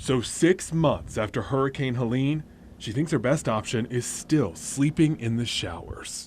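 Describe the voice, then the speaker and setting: A man speaks at a fairly slow pace in a normal speaking voice, his pitch medium. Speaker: news anchor and investigative reporter. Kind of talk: TV news report.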